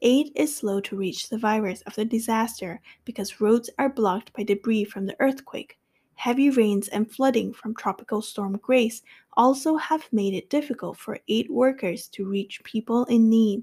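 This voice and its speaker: The somewhat breathy voice, dark and mellow in tone, moves at a moderate pace on a very clean recording with a silent background. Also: woman, fairly high pitch for a woman, ordinary pitch variation. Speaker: English-learning podcast host. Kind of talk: tutorial; reading aloud.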